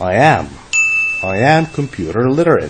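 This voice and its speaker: Here a man speaks with an Arabic accent at a fairly slow pace. Noticeable background noise is audible. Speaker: English teacher. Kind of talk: lecture. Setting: online lesson.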